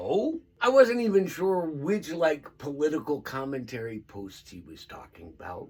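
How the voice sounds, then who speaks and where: With hardly any pauses, a man at a fairly high pitch talks at a moderate pace, his pitch swinging very widely and his loudness rising and falling in big swings. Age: old. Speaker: storyteller vlogger, stroke survivor. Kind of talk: casual storytelling monologue.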